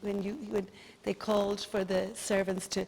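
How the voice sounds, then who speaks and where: A woman with a slight Dublin accent speaks at a medium pitch. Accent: Dublin Irish, slight. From Ireland, Dublin. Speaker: tour guide. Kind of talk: guided tour.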